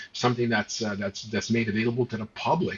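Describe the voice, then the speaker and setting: Over noticeable background noise, a man speaks in a medium pitch. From Montreal, Quebec. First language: not English, not French. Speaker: political talk show co-host. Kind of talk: casual political discussion. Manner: animated, many hesitations and repeated words.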